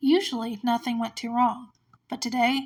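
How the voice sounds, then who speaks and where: A woman with a fairly high pitch speaks at a fairly quick pace in a very clean recording with a silent background. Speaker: amateur podfic reader. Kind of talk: podfic reading of fan fiction.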